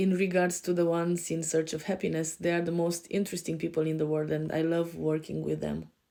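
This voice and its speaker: With a European accent, a woman speaks at a fairly quick pace in a fairly low pitch, her tone dark and mellow and her intonation monotone and flat. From Romania. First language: Romanian. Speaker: life coach. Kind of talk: podcast self-introduction. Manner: hesitant, many fillers.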